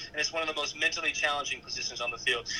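A man speaks over noticeable background noise. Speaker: college football player. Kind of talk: interview.

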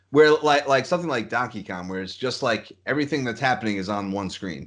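A man speaks in a normal speaking voice with lively intonation at a medium pitch against a quiet background. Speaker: podcast host. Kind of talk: casual chat.

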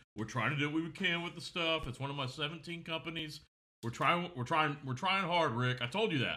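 Talking at a fairly quick pace with a Southern US accent, a man has a fairly high pitch and a bright, sharp tone. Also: ordinary pitch variation. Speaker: podcast co-host. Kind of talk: casual chat. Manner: loud.

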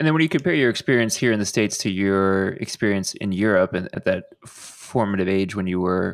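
A man talks in a normal speaking voice. His pace is moderate, with ordinary pitch variation. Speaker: podcast host. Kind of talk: interview.

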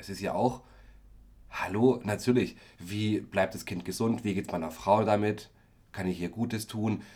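This man has an unremarkable speaking voice, with a fairly low pitch. He talks at a moderate pace and shows ordinary pitch variation. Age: 30s. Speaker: care worker and actor, podcast co-host. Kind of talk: casual chat.

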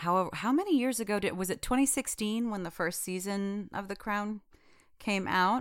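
Using a normal speaking voice, a woman with an American accent talks at a moderate pace with ordinary pitch variation. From United States, Indian heritage. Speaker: podcast guest, TV discussion. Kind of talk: casual chat.

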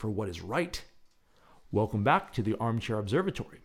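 A man speaks in a theatrical, soothing tone with very wide pitch swings, on a very clean recording with a silent background. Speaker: radio host. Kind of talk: dramatic narration, poetic scripted astronomy tour read aloud. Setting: radio show, late-night broadcast. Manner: hushed, slow, theatrical, wonder-filled; soothing, measured, guided-breathing cadence.

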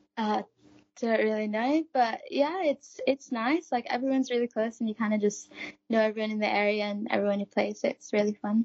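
A woman with an ordinary speaking voice talks at a fairly quick pace, her pitch fairly high with ordinary pitch variation. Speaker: student ice hockey player. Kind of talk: interview answers.

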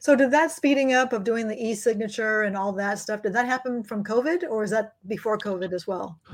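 A woman speaks at a fairly quick pace with hardly any pauses. Her fairly high voice has ordinary pitch variation. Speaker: financial coach. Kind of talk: live online office hours Q&A chat. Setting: live video stream on social media. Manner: fast talker.

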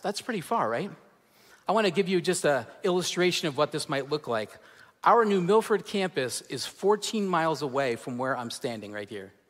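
A man's pitch swings very widely on a very clean recording over a silent background. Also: fairly high pitch for a man, moderate pace. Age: 40s. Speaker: pastor. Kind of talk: sermon. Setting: church.

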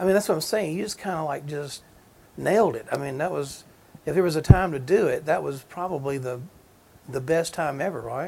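In a Southern US accent, a man talks at a fairly quick pace with fairly high pitch. His loudness swings widely while his pitch varies in an ordinary way. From Georgia, US South. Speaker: podcast host, music museum. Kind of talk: interview, casual chat.

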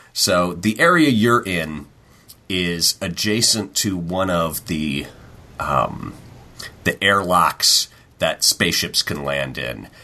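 A man's very deep, low voice with vocal fry and a bright, sharp tone, very slow pace and long, frequent pauses. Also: lively intonation. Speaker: tabletop game master. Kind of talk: game narration; casual chat. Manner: judgy-sounding.

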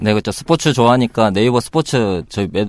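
A man with lively intonation. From Busan. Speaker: labor union chairman, software developer at an IT company.

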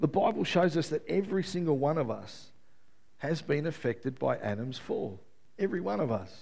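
Using vocal fry, a man talks at a fairly quick pace with fairly high pitch and very wide pitch swings. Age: 50s. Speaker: pastor. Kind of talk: sermon.

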